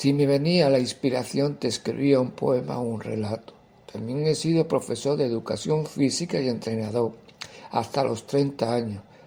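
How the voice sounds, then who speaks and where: A man's normal speaking voice at a medium pitch and moderate pace, with ordinary pitch variation. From Andalusia, Seville province (Carmona). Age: 60s. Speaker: poet and writer. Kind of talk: interview answers, personal account.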